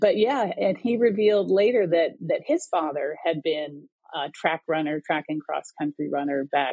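A woman with a normal speaking voice and a fairly low pitch talks at a moderate pace with lively intonation. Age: 60s. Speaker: distance runner and editor. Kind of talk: casual interview.

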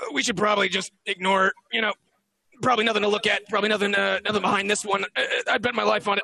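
A man puts on a raspy character voice, high in pitch and monotone, with flat intonation. He talks at a very fast pace in a dry, close sound with no echo. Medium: actual play. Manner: stammering, repeating words.

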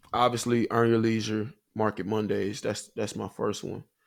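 In an unremarkable speaking voice, a man with a fairly low pitch talks at a fairly slow pace with fairly even intonation. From US South, Huntsville, Alabama. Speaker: pro football player and podcast host. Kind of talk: casual interview.

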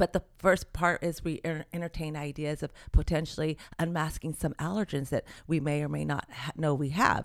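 A woman's very deep, low voice with vocal fry, fairly even intonation and a moderate pace. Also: very clean recording, silent background. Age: 60s. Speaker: certified nutritionist. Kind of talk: interview.

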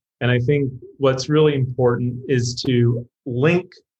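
This man talks. His voice is somewhat breathy. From UK. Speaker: marketing executive. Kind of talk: interview.

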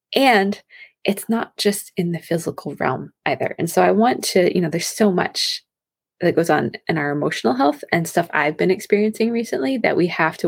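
A soft-spoken woman with a fairly low pitch and an animated tone. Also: very clean recording, silent background. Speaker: women's health coach and podcast host. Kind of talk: solo podcast talk.

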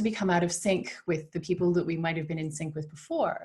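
In a Canadian accent, a somewhat breathy voice with a dark, mellow tone races at a very fast pace with fairly even intonation. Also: woman. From Canada. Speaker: founder of a motherhood community. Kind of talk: interview.

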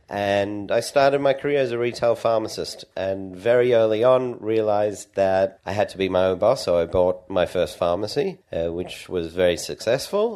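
Against a quiet background, a man with an Australian accent speaks at a moderate pace. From Australia (Sydney, Perth). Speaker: entrepreneur and pharmacist. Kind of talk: interview.

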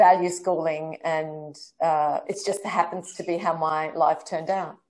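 A woman talks with an Australian accent at a fairly slow pace. Her tone is dark and mellow. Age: 50s. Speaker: director and choreographer. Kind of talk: interview.

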